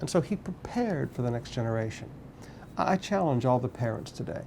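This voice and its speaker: A man with an American accent, a medium-pitched dark, mellow tone, very wide pitch swings and a moderate pace, with audible room echo. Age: 50s. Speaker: pastor. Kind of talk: sermon.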